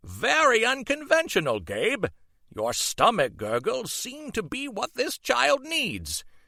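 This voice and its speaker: A man performs a put-on character voice at an extremely high pitch and a fairly slow pace. The recording is very clean, with a silent background. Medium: read story. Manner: formal, instructive.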